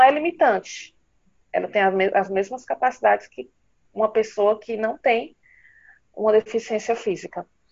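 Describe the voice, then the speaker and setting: A woman is speaking. Her pace is fairly slow. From Ceará, northeastern Brazil. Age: 30s. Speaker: writer and nurse. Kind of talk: interview conversation.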